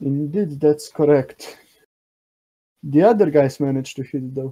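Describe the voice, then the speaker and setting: Speaking at a fairly slow pace, the man has a fairly high pitch and a dark, mellow tone. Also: ordinary pitch variation. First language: not English. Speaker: contest judge. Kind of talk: live commentary.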